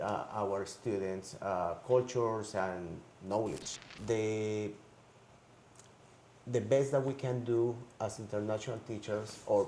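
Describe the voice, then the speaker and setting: A man with a Spanish accent speaks at a very slow pace and a fairly low pitch, with fairly even intonation, long, frequent pauses and audible room echo. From Colombia. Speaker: high school language teacher. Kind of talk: interview.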